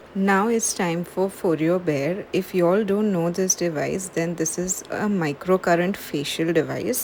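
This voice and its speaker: A woman speaks quietly at a fairly slow pace and fairly low pitch, with hardly any pauses. Her intonation is fairly even, and noticeable background noise is present. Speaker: beauty vlogger. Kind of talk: casual vlog tutorial. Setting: at home at night. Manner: slow, quiet.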